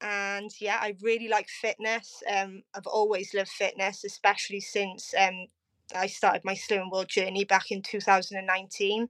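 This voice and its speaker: A woman speaks in a Cardiff accent at a moderate pace with monotone, flat intonation. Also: medium pitch for a woman. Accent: Welsh (Cardiff). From South Wales, Cardiff. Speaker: podcast guest, type 1 diabetic. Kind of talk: casual interview.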